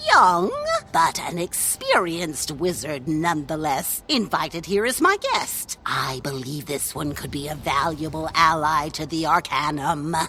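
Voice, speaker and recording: A put-on character voice in a middle pitch at a moderate pace, with hardly any pauses and clear background noise. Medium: video game.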